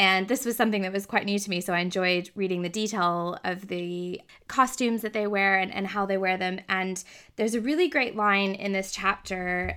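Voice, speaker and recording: An American accent in a bright, sharp tone at a moderate pace, with ordinary pitch variation, in a very clean recording with a silent background. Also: woman. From Texas. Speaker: podcast host. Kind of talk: casual interview.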